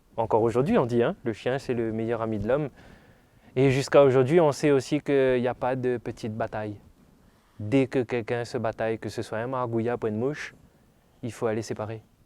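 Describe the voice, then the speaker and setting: Dark and mellow in tone, a man's medium-pitched voice moves at a fairly quick pace yet leaves long, frequent pauses. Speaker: storyteller. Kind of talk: sleep story told aloud. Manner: storytelling, lively, conversational.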